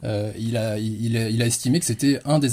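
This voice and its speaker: At a fairly slow pace, a man speaks in a somewhat breathy, dark and mellow voice of medium pitch, with ordinary pitch variation. The recording is very clean, and the background is silent. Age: 30s. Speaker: history enthusiast. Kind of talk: interview. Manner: halting.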